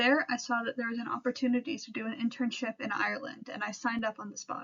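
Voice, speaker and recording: This woman has a high-pitched voice with an American accent. Her intonation is monotone and flat. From US Pacific Northwest, Seattle. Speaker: history student intern. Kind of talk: presentation. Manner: scripted, reading from notes.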